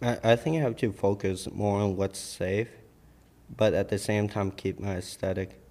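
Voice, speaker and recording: An unremarkable speaking voice with an American accent. The pace is moderate and the intonation fairly even. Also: man, fairly low pitch for a man. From Vietnam, raised partly in Minnesota. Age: 20s. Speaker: fashion designer. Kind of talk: casual chat. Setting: studio.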